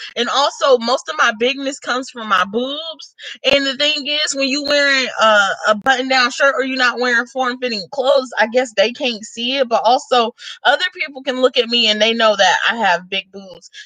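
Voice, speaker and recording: At a moderate pace with ordinary pitch variation, the voice comes through noticeable background noise. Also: woman, high pitch for a woman. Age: 20s. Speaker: YouTuber. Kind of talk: casual vlog chat. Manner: casual, rambling with colloquialisms.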